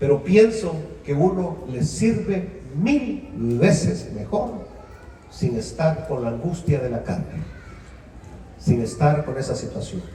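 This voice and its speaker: Fairly high male voice with very wide pitch swings, audible room echo and noticeable background noise. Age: 70s. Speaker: pastor. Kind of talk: sermon. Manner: animated.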